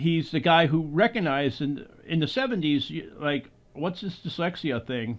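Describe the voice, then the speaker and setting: With a plain, everyday voice, a man talks at a moderate pace, his fairly high pitch carried by lively intonation. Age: 60s. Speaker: podcast host and filmmaker. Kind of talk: interview conversation.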